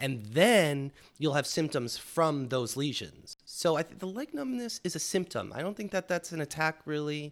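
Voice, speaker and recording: Using a normal speaking voice, a man talks at a moderate pace with lively intonation. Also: fairly high pitch for a man, hardly any pauses, very clean recording, silent background. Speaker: podcast co-host. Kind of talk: casual chat.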